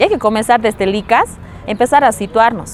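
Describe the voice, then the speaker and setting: A woman talks at a moderate pace in a fairly high pitch with ordinary pitch variation. There is noticeable background noise. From Bolivia, Potosí (rural highland community). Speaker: feminist activist, psychologist. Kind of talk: interview.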